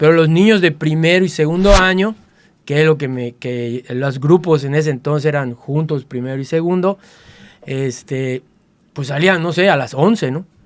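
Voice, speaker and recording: At a moderate pace, a man with a fairly high voice speaks with ordinary pitch variation. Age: 60s. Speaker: martial artist. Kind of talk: interview storytelling. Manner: halting, many fillers.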